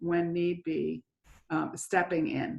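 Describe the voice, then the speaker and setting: A woman's fairly low-pitched voice, an ordinary speaking voice. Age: 60s. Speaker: church member, mother. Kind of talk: interview.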